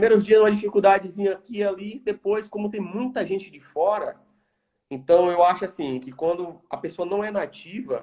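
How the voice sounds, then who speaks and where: The speaker has a strong Bahian accent and a dark, mellow tone. The pace is moderate, with big swings in loudness. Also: man, high pitch for a man, ordinary pitch variation. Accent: Bahia accent, strong. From Brazil, Bahia. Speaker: environmental engineer. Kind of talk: interview.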